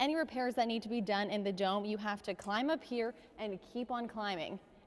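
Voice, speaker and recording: Speaking fairly quickly in a normal speaking voice, a woman keeps a medium pitch with ordinary pitch variation. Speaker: television news reporter and anchor. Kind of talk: news anchor and reporter broadcast delivery. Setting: on location, standing reporter piece.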